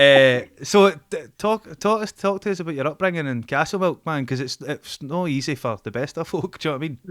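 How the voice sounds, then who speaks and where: A man's fairly high voice in a Glaswegian accent, fairly quick and lively in intonation, with hardly any pauses. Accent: Glaswegian Scottish. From Scotland, Glasgow (Dennistoun). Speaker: podcast host. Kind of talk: casual chat.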